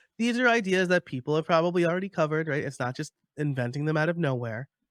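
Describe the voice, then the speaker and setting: A man in a New York accent at a very fast pace with lively intonation, in a very clean recording with a silent background and a dry, close sound with no echo. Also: fairly high pitch for a man. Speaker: podcaster and course creator. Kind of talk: interview.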